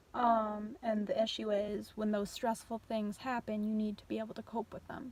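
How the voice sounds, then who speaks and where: With an American accent, a woman speaks at a moderate pace. Her voice is fairly high and somewhat breathy. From New York. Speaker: vlogger. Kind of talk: personal vlog. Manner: monotone; casual with many fillers.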